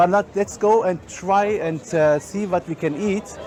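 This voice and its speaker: A German accent at a moderate pace, with noticeable background noise and audible room echo. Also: man. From Germany. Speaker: chef and caterer. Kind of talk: guided food tour presentation. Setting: outdoors at a crowded market. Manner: halting, many fillers.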